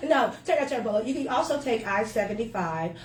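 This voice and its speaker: A woman speaks in an animated tone with a Southern US accent. Noticeable background noise and audible room echo sit behind her. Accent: Southern US (Georgia). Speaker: winery owner. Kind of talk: casual interview. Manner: loud; animated, hesitant fillers.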